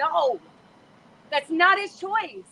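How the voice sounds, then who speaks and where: Animated and bright, sharp in tone, a woman speaks in a raised, projected voice. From US, raised in Scientology in Los Angeles. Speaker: former Scientologist protester. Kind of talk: emotional live street conversation. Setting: outdoors at a protest, livestream. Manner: loud.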